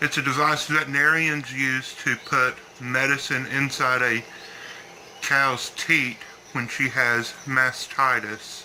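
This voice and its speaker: A man with a Southern US accent speaks in a monotone, flat intonation. Noticeable background noise runs behind him. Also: medium pitch for a man. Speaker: bird breeder. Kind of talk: tutorial. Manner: halting.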